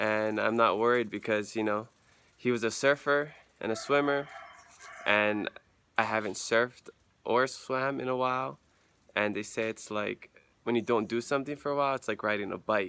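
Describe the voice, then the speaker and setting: A man with a bright, sharp tone and ordinary pitch variation talks at a moderate pace, leaving long, frequent pauses, over light background noise. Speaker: volunteer vlogger. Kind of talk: casual vlog chat. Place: street. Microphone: phone near.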